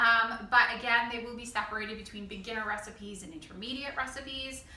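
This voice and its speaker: An upbeat tone with ordinary pitch variation, audible room echo and noticeable background noise. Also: woman. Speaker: school cooking teacher. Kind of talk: tutorial. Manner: fast; casual, upbeat.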